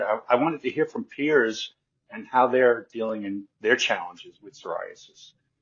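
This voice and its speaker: The pace of this man's speech is fairly quick. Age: 60s. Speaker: psoriasis patient and support group founder. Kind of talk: interview. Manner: halting.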